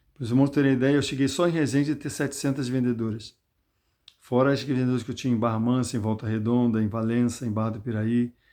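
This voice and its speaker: Speaking at a very fast pace, a man uses a dark, mellow tone at medium pitch with fairly even intonation against a quiet background. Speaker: lay preacher. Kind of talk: Bible talk with personal testimony. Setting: self-recorded video. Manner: conversational, addresses listeners directly.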